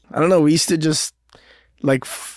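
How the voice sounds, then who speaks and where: A man speaks fairly quickly at a fairly high pitch, his tone animated. The sound is dry and close, with no echo. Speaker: rapper and actor. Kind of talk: casual chat. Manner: animated, laughs a lot.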